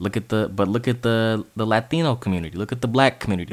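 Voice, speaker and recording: Talking at a fairly quick pace, a man with a Californian accent has medium pitch and ordinary pitch variation. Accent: Californian American. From US West Coast, Bay Area (East Bay). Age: 20s. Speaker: sports podcaster. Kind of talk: monologue commentary. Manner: halting.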